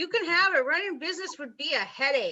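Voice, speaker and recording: The pitch of this put-on character voice is extremely high. It races along at a very fast pace. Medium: stage play. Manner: sharp, sneering.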